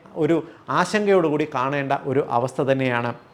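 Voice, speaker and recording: There is noticeable background noise behind the speaker. A man talks with ordinary pitch variation. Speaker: homeopathic doctor. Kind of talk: educational health talk to camera.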